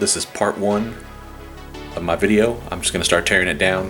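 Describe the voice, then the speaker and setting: A man talks at a fairly quick pace with monotone, flat intonation. Music plays in the background. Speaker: DIY mechanic / hobbyist restorer. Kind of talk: casual talk to camera. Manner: fast.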